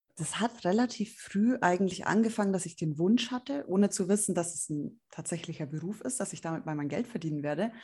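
Dark and mellow in tone, a woman speaks at a fairly quick pace with hardly any pauses and lively intonation. She sounds somewhat breathy against a quiet background. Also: medium pitch for a woman. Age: 20s. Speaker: journalist and magazine editor. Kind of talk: interview. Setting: video call.

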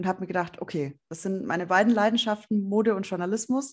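At a fairly quick pace, a woman talks in an unremarkable speaking voice. Her medium pitch shows ordinary variation. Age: 20s. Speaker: journalist and magazine editor. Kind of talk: interview. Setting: video call.

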